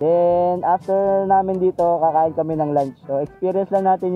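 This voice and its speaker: At a moderate pace, the speech comes through with a dry sound with no echo and faint music in the background. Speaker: motovlogger. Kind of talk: casual vlog chat. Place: waterside. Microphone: helmet.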